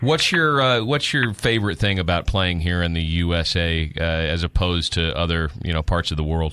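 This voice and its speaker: A man with an American accent speaks at a very deep, low pitch and a moderate pace, with hardly any pauses. His loudness stays very even, pitch variation is ordinary, and background noise is noticeable. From Texas, San Antonio. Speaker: radio interviewer. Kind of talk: interview. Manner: enthusiastic, animated.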